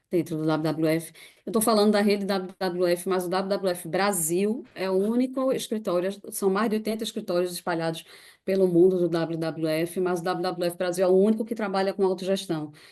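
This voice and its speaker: The speaker uses fairly even intonation in a Recife accent. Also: woman, medium pitch for a woman, moderate pace, quiet background. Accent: northeastern Brazilian (Recife), noticeable. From Brazil, Recife (Pernambuco). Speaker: NGO staff member presenting a case. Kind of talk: online presentation with slides.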